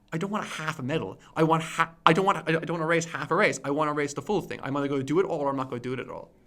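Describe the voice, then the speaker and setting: A man speaks at a very fast pace in a fairly high voice, with ordinary pitch variation. Noticeable background noise runs behind him. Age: 30s. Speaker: YouTuber. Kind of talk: casual chat. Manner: halting.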